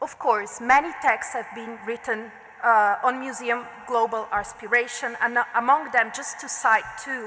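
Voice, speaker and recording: A woman with an Italian accent speaks at a fairly slow pace and fairly high pitch, with fairly even intonation. Her loudness swings widely, and there is noticeable background noise. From Italy. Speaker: art historian. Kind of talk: lecture. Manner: formal.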